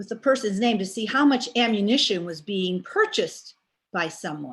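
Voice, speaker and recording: A woman's plain, everyday voice at a medium pitch, lively intonation, and a very clean recording with a silent background. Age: 60s. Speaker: class participant. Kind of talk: class discussion.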